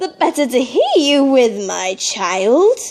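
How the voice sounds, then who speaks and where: In a put-on character voice, a woman speaks high in pitch with very wide pitch swings. Her pace is fairly slow. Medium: read story. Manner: sly, wheedling.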